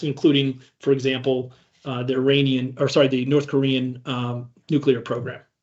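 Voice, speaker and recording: A man with a Midwestern US accent, fairly high-pitched, at a moderate pace. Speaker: cybersecurity ransomware responder, conference speaker. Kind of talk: conference talk. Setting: stage with audience. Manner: halting, many fillers and restarts.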